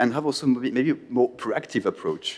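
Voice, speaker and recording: This is a man speaking. He has a French accent. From France. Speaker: conference panelist. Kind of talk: panel talk. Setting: conference hall with audience. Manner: halting, many repetitions.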